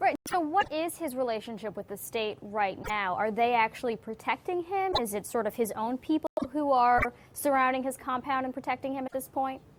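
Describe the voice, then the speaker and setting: Over noticeable background noise, the speech runs at a fairly quick pace with lively intonation. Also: woman, high pitch for a woman. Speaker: news host. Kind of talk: news interview questions.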